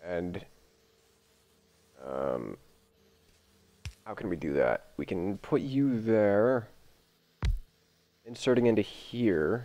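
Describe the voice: A man speaks at a very slow pace in a gravelly, fairly low voice with a dark, mellow tone. His intonation is lively, broken up by long, frequent pauses.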